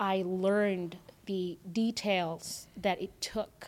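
A woman with a Filipino accent speaks at a medium pitch. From Philippines, then Canada from age ten. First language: Filipino language. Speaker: entrepreneur, agency owner. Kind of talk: interview.

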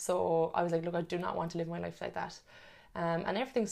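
A woman with a Cork accent speaks in a fairly low pitch in a very clean recording with a silent background. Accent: Cork Irish. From Ireland, Cork. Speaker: personal trainer and nutrition coach. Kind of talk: casual interview. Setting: in person.

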